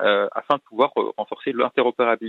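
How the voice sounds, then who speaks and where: A man talks with lively intonation. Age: 40s. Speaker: naval officer, ship commander. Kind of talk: radio interview. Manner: hesitant, frequent fillers.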